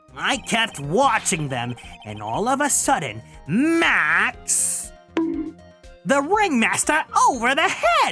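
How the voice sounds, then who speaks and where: In a put-on character voice pitched extremely high, a man speaks at a very slow pace. Sound effects and faint music play in the background. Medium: virtual streamer. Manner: jokey, evasive.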